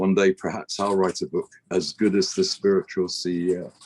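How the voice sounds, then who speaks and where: Someone with a British accent speaks at a fairly slow pace, the sound dry and close with no echo. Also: man. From Britain. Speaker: business executive, broadcast infrastructure expert. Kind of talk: interview.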